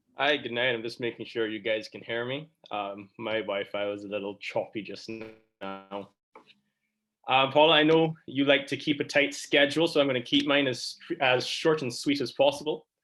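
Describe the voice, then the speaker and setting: With music playing in the background, a man talks at a moderate pace and medium pitch, his pitch varying in an ordinary way. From Barbados. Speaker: student election candidate. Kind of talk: campaign speech. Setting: online video forum.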